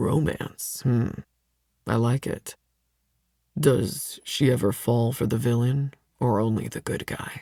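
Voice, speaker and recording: A man puts on a character voice at a medium pitch, moving at a fairly slow pace with long, frequent pauses. The sound is dry and close, with no echo. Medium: read story. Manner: smug, domineering.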